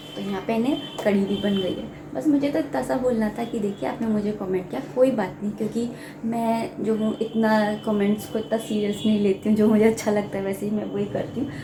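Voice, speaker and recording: A woman's fairly high voice at a moderate pace with hardly any pauses, with audible room echo and noticeable background noise. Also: ordinary pitch variation. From India. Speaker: cooking vlogger. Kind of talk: casual vlog talk while cooking. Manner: conversational, with fillers.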